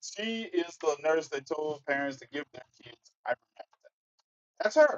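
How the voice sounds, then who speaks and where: Big swings in loudness run through this man's normal speaking voice. He has a fairly high pitch and an American accent. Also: ordinary pitch variation. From Mississippi, US South. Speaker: online talk show host. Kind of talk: livestream commentary. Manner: casual.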